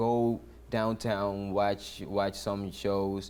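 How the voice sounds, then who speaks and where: A man speaks with a Dominican accent and a dark, mellow tone. His pace is very slow. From Dominican Republic. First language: Spanish. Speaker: musician, percussionist. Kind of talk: interview conversation. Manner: halting, with many fillers and restarts.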